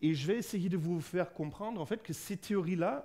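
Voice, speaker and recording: With ordinary pitch variation, a man talks in a high-pitched voice. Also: very clean recording, silent background. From Germany. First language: German (speaking French). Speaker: physicist, researcher and lecturer. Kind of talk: public lecture. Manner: halting, many fillers.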